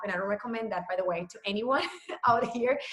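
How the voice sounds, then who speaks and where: A woman's fairly high voice with a Spanish accent. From Puerto Rico. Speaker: fitness trainer. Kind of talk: casual talk to a group call. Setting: group call. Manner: rambling, many fillers.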